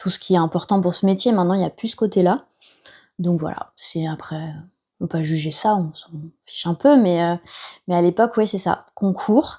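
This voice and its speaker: A woman's medium-pitched voice with a dark, mellow tone, ordinary pitch variation, big swings in loudness and long, frequent pauses, on a very clean recording with a silent background. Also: moderate pace. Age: 30s. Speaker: nurse turned entrepreneur. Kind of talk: podcast interview. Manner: casual, many hesitations.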